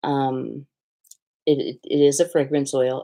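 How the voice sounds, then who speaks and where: A woman talks at a very slow pace on a very clean recording with a silent background. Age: 60s. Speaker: soap maker and live sale host. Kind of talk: sales pitch. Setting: livestream.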